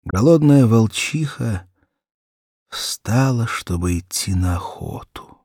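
The voice has a slightly mellow tone and lively intonation at a slow pace. The recording is very clean, with a silent background. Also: man, medium pitch for a man.

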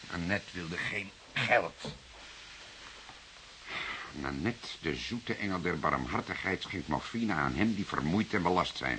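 A man puts on a character voice, low in pitch yet bright and sharp in tone. He talks slowly with long, frequent pauses over faint background noise. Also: lively intonation.

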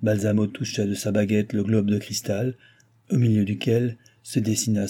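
Unforced reading in the voice

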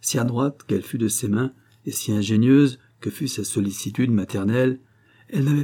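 An unforced reading voice moves through ordinary rises and falls in pitch.

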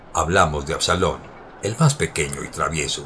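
A man speaks at a moderate pace with an extremely low pitch and ordinary pitch variation. His tone is fairly bright.

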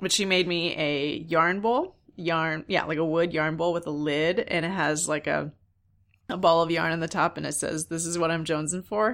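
In a very clean recording with a silent background, a woman uses a normal speaking voice. She talks at a moderate pace with fairly even intonation and a fairly low pitch. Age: 40s. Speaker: knitting podcast host. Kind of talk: casual solo podcast monologue.

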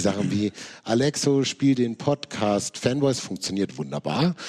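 A man with a slightly mellow tone, medium pitch, lively intonation and a moderate pace

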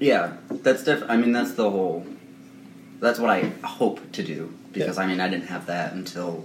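A man with a fairly low voice speaks at a moderate pace. Room echo is audible and there is noticeable background noise. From Rhode Island. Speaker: punk band member. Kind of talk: casual chat.

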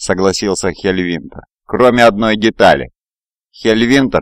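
Pitch shifts in a normal way as a natural reading voice carries over silence.

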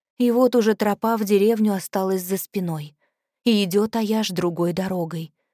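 Quiet background behind an unforced reading voice

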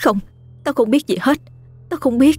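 A female-sounding voice in a put-on character voice speaks at a high pitch and a moderate pace, with faint music in the background. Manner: denying, fearful, broken.

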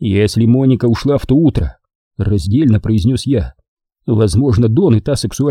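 A natural reading voice carries ordinary pitch variation. Nothing disturbs the quiet background.

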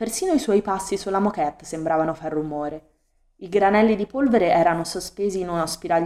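Plain reading aloud with ordinary pitch variation, quiet background behind it

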